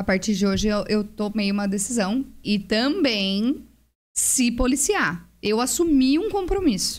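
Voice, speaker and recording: In a quiet setting, a woman with a Brazilian accent talks at a fairly slow pace and a fairly high pitch, somewhat breathy, with lively intonation. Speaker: parenting mentor; podcast guest or host. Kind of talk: casual chat. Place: studio. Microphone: studio mic.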